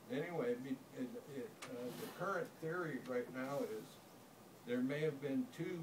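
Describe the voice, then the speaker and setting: Noticeable background noise sits behind a man speaking at a fairly slow pace. His voice is fairly high, with ordinary pitch variation. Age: 60s. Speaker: engineer and storyteller. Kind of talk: storytelling talk to an audience. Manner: halting, with fillers and restarts.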